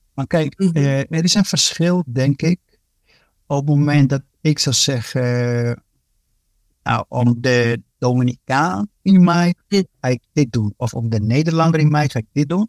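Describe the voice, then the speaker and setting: Speaking at a fairly slow pace, a man with a fairly high pitch shows ordinary pitch variation in a dry, close recording with no echo. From Dominican Republic, raised in Netherlands from age ten. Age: 40s. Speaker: police inspector and court interpreter. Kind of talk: casual interview. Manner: hesitant, with many fillers and repeats.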